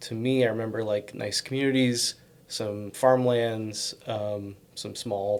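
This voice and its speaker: Mumbling in an American accent, a man speaks with a fairly low pitch. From US Northeast, Connecticut. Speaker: bakery owner and chef. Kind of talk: casual interview. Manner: hesitant, many fillers.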